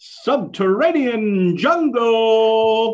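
A female-sounding, put-on character voice delivers lines in a theatrical tone at a fairly high pitch. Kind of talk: announcer. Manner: big, drawn-out, theatrical.

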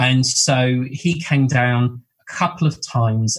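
Somewhat breathy, a man with a southern English accent speaks in a medium pitch with fairly even intonation. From southern England, Bournemouth. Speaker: medium and spiritual teacher. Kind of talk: casual interview chat.

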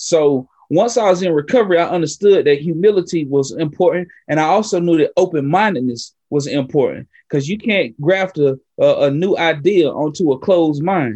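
A man with an American accent speaks in a high pitch with a dark, mellow tone. His moderate pace carries hardly any pauses. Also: ordinary pitch variation. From Western North Carolina, Appalachia. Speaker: peer support specialist and community health worker. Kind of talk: interview conversation. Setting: remote podcast recording late at night. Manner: energetic, animated.

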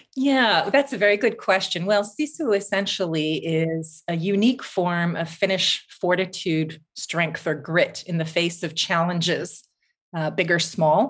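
A woman with an ordinary speaking voice talks in a Canadian accent at a fairly low pitch. Her pace is fairly slow and her intonation lively. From Canada, Vancouver. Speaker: writer and journalist. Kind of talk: interview conversation. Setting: remote call from Finland.

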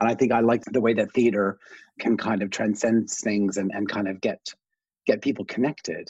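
Fairly quick speech in a normal speaking voice, its intonation fairly even. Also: man. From Canada, small town. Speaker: fashion designer. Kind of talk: casual chat.

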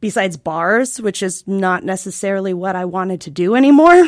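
On a very clean recording with a silent background, a woman speaks in an ordinary speaking voice at a moderate pace and medium pitch. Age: 30s. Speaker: counseling intern. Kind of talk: casual chat.

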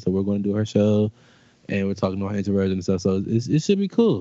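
An American-accented man talks at a very fast pace. His intonation is lively. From DMV area (Washington DC region). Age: young. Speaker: podcaster and bartender. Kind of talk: casual interview chat.

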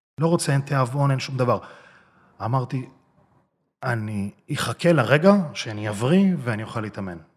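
A man speaks with lively intonation in a somewhat breathy voice. He leaves long, frequent pauses. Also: medium pitch for a man, moderate pace. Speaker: bodybuilder and social media personality. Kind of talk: interview.

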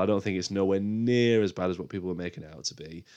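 Talking at a very fast pace, the man has a British accent. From UK. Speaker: film podcast host. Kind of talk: solo podcast monologue. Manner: casual, hesitant with fillers.

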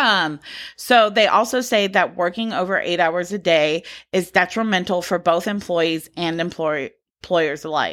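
A plain, everyday voice with an American accent, moderate pace and ordinary pitch variation, on a very clean recording with a silent background. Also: woman, fairly low pitch for a woman. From US South, Georgia. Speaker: podcast co-host. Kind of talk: casual chat with researched topic segments.

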